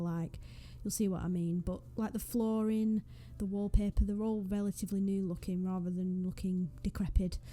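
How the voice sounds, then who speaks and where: A woman with a northwest English accent speaks at a fairly quick pace, her medium-pitched voice keeping a fairly even intonation. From northwest England. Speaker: gaming YouTuber. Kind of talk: casual vlog commentary. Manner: casual, hesitant.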